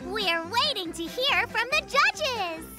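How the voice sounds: A cartoonish character voice at a slow pace, full of big pitch swings, with clear music in the background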